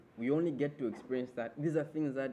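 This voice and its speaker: A man speaks at a fairly quick pace with a dark, mellow tone. Audible room echo surrounds his voice. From Malawi. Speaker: graduate student teaching a programming workshop. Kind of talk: workshop lecture. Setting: classroom with online participants.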